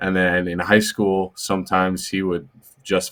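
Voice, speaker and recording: A man with a very deep, low pitch and a Midwestern American accent, on a very clean recording with a silent background. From Illinois near St. Louis. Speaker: college football player. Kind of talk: podcast interview.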